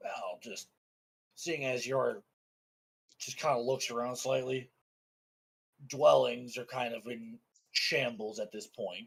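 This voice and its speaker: A raspy put-on character voice from a man, medium in pitch, fairly slow, with long, frequent pauses and big swings in loudness. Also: ordinary pitch variation. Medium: actual play.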